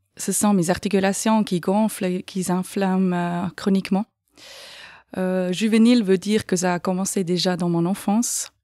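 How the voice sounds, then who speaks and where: A woman's dark, mellow, monotone voice with flat intonation and a slight Swiss German accent, at a fairly slow pace, in a very clean recording with a silent background. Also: medium pitch for a woman. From Switzerland, canton of Aargau. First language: Swiss German (speaking French). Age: 40s. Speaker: patient sharing experience. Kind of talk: podcast interview. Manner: hesitant, many fillers.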